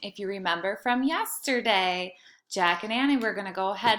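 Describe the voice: A plain read-aloud delivery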